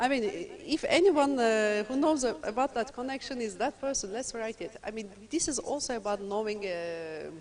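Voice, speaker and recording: A woman with a Turkish accent speaks at a fairly high pitch, her voice making very wide pitch swings. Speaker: lecturer. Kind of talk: lecture. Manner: fast.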